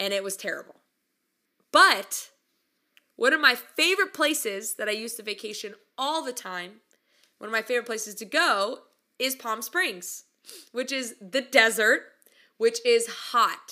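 With an American accent, a woman speaks at a fairly high pitch in a bright, sharp tone. Her delivery is animated, at a moderate pace, with big swings in loudness. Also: lively intonation. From California. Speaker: podcast host. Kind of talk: casual monologue.

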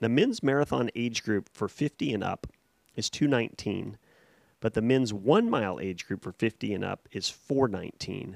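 In a very clean recording with a silent background and a dry, close sound with no echo, a man with a plain, everyday voice talks at a moderate pace, with medium pitch and ordinary pitch variation. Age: 40s. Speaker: race timer and meteorologist. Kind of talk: casual chat. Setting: studio.

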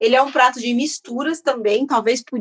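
At a moderate pace, a woman with a normal speaking voice talks at a fairly high pitch with ordinary pitch variation, the sound dry and close with no echo. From São Paulo, Brazil. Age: 30s. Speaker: chef and culinary researcher. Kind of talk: interview.

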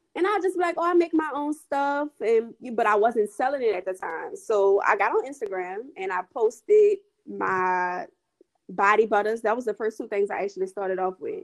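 A fairly high-pitched woman in a New Orleans accent, at a moderate pace with very wide pitch swings. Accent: New Orleans Southern US. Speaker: skincare entrepreneur. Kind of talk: casual interview chat.

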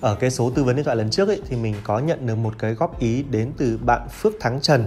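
Somewhat breathy and very fast, the voice runs on with hardly any pauses and lively intonation. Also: man. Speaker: tech YouTuber and reviewer. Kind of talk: solo tech review monologue. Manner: concise, conversational.

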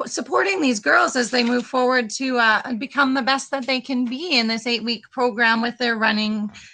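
A woman with a Canadian Prairies accent speaks at a high pitch in a bright, sharp tone. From Saskatchewan, Canada. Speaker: running group organizer. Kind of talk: casual interview chat. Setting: remote call.

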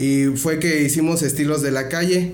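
A man with a fairly high pitch is heard with audible room echo and noticeable background noise. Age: 20s. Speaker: rapper and freestyle event organizer. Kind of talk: casual interview. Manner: hesitant with fillers.

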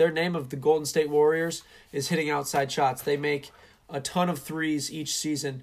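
Over a very clean recording with a silent background, a man with an unremarkable speaking voice and a fairly high pitch talks at a moderate pace with fairly even intonation. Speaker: sports commentator. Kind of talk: sports commentary, live play-by-play with color analysis.

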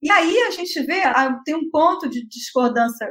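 Her voice is raised and projected, with an extremely high pitch. The woman's tone is bright and sharp. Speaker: university professor, moderator. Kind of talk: webinar discussion.

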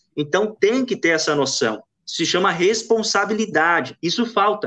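A man speaks with very wide pitch swings. His tone is bright and sharp. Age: 20s. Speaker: sports journalist. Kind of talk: casual sports chat.

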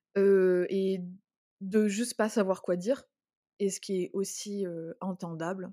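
On a very clean recording with a silent background, a woman speaks. Her pace is very slow, her tone dark and mellow. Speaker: podcast co-host, entrepreneur. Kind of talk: personal testimony in casual chat. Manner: halting, emotional.

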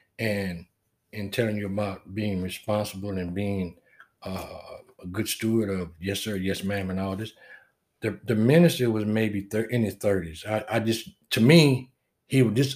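In a Southern US accent, a man with a fairly low pitch talks at a moderate pace. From US South. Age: 60s. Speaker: military veteran. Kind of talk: casual chat.

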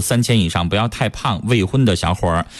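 Here is a normal speaking voice. Its intonation is lively. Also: man. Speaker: radio host. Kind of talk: call-in radio show. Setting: studio.

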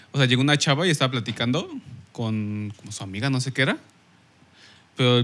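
At a fairly quick pace, a man with a Mexican accent talks at medium pitch with ordinary pitch variation. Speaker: podcast guest. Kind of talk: casual chat.

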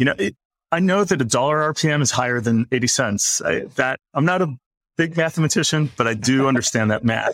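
A man talks at a fairly quick pace in an ordinary speaking voice, with lively intonation. The sound is dry and close, with no echo. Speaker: media company executive. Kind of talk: interview conversation.

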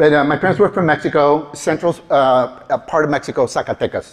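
Fairly high in pitch, a man talks at a fairly quick pace in an animated tone. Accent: Spanish. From California, US. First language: Spanish. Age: 50s. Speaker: motivational speaker and career trainer. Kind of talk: live talk to audience. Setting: stage with audience. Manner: animated, humorous.

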